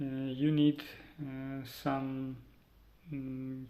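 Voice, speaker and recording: A man's medium-pitched voice in a Ukrainian accent, monotone and flat, with audible room echo. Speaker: vlogger. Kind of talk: personal vlog. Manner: halting, many fillers.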